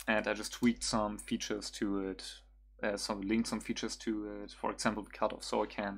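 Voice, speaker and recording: The recording is very clean, with a silent background. The speaker talks at a fairly quick pace in a German accent. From Germany. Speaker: music producer streamer. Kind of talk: tutorial livestream. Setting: livestream at home computer. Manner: halting, many fillers.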